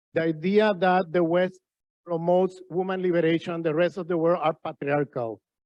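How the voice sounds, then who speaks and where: A man with a Spanish accent speaks at a fairly quick pace in a high pitch, his intonation fairly even. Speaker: professor. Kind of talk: panel discussion. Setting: conference with audience.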